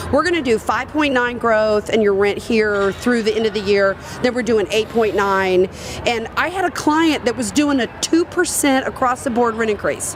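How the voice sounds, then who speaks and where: A woman with a Southern US accent speaks at a moderate pace in an animated tone, her fairly high voice carrying lively intonation. Her loudness is very even, and there is noticeable background noise. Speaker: industry speaker and consultant. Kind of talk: live podcast interview. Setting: live recording at a conference.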